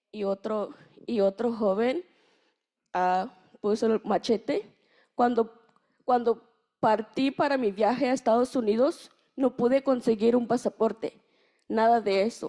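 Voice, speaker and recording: A woman's fairly slow, fairly evenly intoned speech, long and frequent pauses, against a quiet background. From Mexico, Chiapas. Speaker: youth researcher and migrant youth leader; panelist. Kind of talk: personal testimony. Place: hall. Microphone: handheld.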